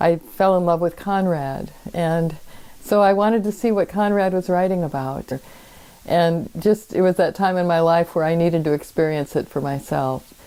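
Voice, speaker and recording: Fairly low and dark, mellow in tone, a woman's voice carries an American accent and ordinary pitch variation. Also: moderate pace. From US Midwest, Minnesota. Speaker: former commercial fisher and writer. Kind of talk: interview. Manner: halting.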